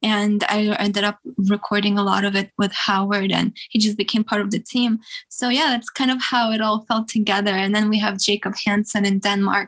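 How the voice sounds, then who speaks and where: In a flat monotone, a woman speaks at a medium pitch. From Russia. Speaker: rock singer. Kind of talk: casual interview.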